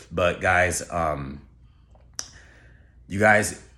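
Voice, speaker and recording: In a room with audible echo, a man speaks with a very deep, low pitch. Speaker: YouTuber. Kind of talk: casual vlog monologue. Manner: casual, filler-heavy.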